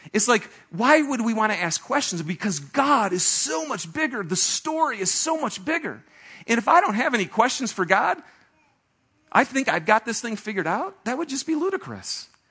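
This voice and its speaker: A man's raised, projected voice at extremely high pitch, bright and sharp in tone, with very wide pitch swings at a moderate pace. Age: 40s. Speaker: pastor. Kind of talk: sermon. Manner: animated.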